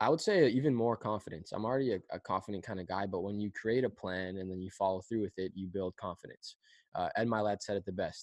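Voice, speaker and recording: A normal speaking voice. It moves at a fairly quick pace. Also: man. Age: 20s. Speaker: youth speaker and environmental activist. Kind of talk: casual interview.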